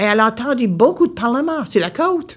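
Someone with an Acadian accent speaks at a fairly slow pace. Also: woman. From Nova Scotia, Baie Sainte-Marie (Acadian). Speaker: storyteller. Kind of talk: storytelling performance. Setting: stage with audience.

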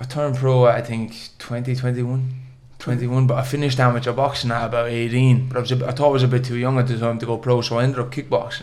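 A man in a Munster accent talks at a very fast pace with monotone, flat intonation. Audible room echo surrounds his voice. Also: medium pitch for a man. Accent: southern Irish (Waterford). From Ireland, Waterford. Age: 20s. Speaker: professional boxer. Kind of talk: interview storytelling.

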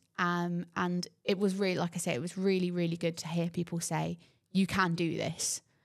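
Fairly low in pitch, a woman talks at a moderate pace in a plain, everyday voice. The recording is very clean, with a silent background. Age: 20s. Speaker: nursing student. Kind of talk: casual interview.

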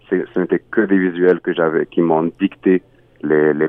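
The speaker has an Arabic accent and a monotone, flat intonation. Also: man. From Egypt, Cairo. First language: Arabic (speaking French). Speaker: singer-songwriter. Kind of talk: interview. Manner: halting.

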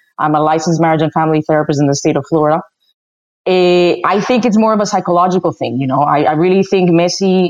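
A woman with a Spanish accent talks at a very fast pace in a fairly low pitch and an animated tone. Her loudness stays very even, her pitch varies in an ordinary way, and the background is quiet. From Spain (Madrid). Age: 30s. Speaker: soccer commentator and family therapist. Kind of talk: casual chat.

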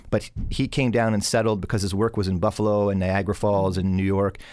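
A man with a Canadian accent and a plain, everyday voice talks in a fairly low pitch at a moderate pace. The recording is very clean, with a silent background. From southern Ontario, Canada (Hamilton area). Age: young. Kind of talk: interview.

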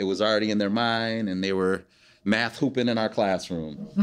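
With an ordinary speaking voice, a man speaks at a moderate pace, his pitch fairly low and his intonation fairly even against a quiet background. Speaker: podcast co-host and former teacher. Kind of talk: conversational storytelling. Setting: live recording at a conference.

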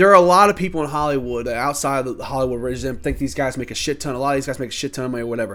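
Very fast and with hardly any pauses, the animated speech has a bright, sharp tone and ordinary pitch variation, on a very clean recording with a silent background. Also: man, medium pitch for a man. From Louisville, Kentucky. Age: 30s. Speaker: sports podcaster. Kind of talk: casual sports rant.

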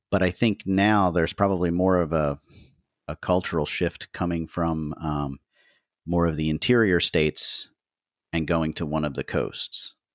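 A man's very deep, low voice at a moderate pace with fairly even intonation, dry and close with no echo, on a very clean recording with a silent background. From US Northeast, Philadelphia area. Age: 50s. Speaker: podcast host. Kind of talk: interview. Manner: halting.

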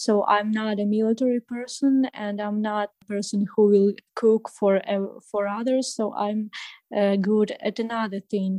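A woman with a Ukrainian accent speaks at medium pitch and a fairly slow pace, her tone dark and mellow, her intonation flat and monotone. The sound is dry and close with no echo, over a quiet background. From Ukraine. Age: 20s. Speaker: refugee. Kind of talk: interview. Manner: halting.

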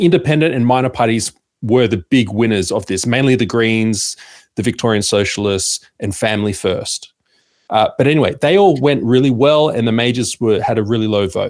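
An Australian accent comes from a man with a medium-pitched voice and ordinary pitch variation. He speaks at a moderate pace on a very clean recording with a silent background. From Sydney, Australia. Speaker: media founder and podcaster. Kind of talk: casual interview chat.

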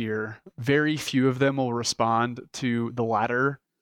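A man with an American accent has a plain, everyday voice at a medium pitch, using fairly even intonation. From Texas (Dallas). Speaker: business owner. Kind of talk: interview.

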